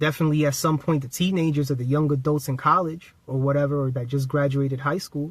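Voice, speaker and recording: Over a silent background in a very clean recording, a man speaks very fast in a somewhat breathy, fairly high voice with monotone, flat intonation. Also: hardly any pauses. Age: 30s. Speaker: spiritual self-help YouTuber. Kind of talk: casual motivational vlog talk to camera.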